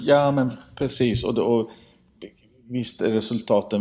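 This is a man's voice. It has a dark, mellow tone. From grew up in Sweden, Iranian family. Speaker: padel tour organiser. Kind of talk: casual interview. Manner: halting, repeats words.

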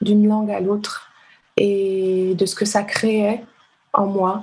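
Very slowly, a woman talks in a somewhat breathy voice at a medium pitch. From Benin (Ouidah, Cotonou). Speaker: literary translator. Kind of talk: casual interview.

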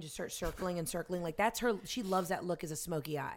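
In a very clean recording with a silent background, a plain, everyday voice with an American accent shows ordinary pitch variation. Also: woman. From US South. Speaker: actress. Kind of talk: casual chat.

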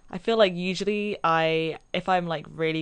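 With a London accent, a woman speaks at a fairly low pitch with ordinary pitch variation. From London, England. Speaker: podcast guest. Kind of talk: casual chat.

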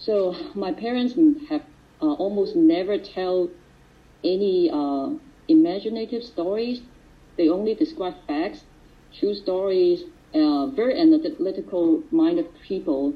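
Speaking at a fairly slow pace with long, frequent pauses, a woman of medium pitch makes very wide pitch swings. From Hong Kong. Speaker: recovery meeting speaker. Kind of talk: testimony. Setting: video call. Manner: halting.

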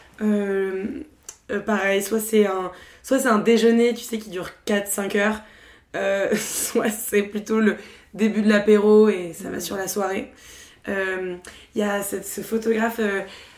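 Her words come at a very slow pace. The woman's pitch sits in the medium range. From Paris, France. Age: 20s. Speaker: podcaster. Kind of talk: casual chat.

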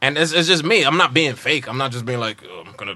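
Speaking very fast, a man uses a fairly high, bright and sharp voice with an animated tone. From New York (Harlem). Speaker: comedian. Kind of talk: casual chat.

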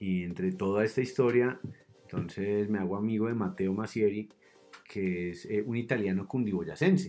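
Music plays in the background as a man speaks at a moderate pace. His pitch is fairly low and his intonation fairly even. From Colombia, Cundinamarca (Suesca/Zipaquirá). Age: 30s. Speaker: mountain guide. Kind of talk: casual interview chat. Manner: hesitant, many fillers.

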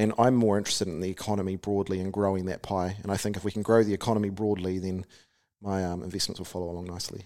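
A man with a New Zealand accent, very fast pace, fairly low pitch, dark and mellow tone, monotone flat intonation, and a very clean recording with a silent background. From New Zealand, Taranaki. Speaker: company founder and CEO. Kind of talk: interview.

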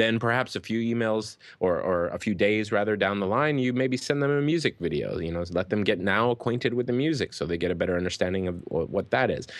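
A man talks at a very fast pace with hardly any pauses. His intonation is lively against a quiet background. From Hawaii. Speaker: musician and music marketing expert. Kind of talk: interview.

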